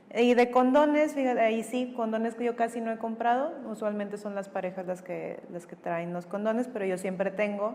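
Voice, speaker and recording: A fairly high-pitched woman talking at a fairly quick pace with hardly any pauses, over noticeable background noise. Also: ordinary pitch variation. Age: 30s. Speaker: psychologist and sexologist. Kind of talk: testimony.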